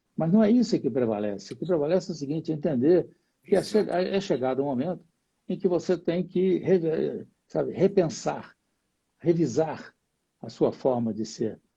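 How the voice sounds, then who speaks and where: Lively in intonation, a man speaks at a moderate pace with a dark, mellow tone. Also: fairly high pitch for a man. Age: 80s. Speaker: jiu-jitsu master. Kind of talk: live interview.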